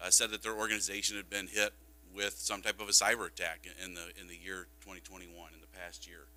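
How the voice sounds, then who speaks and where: Very fast and marked by big swings in loudness, a man talks with a very deep, low pitch and lively intonation. His tone is bright and sharp, with vocal fry. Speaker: school district technology director. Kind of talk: board presentation. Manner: casual with frequent fillers.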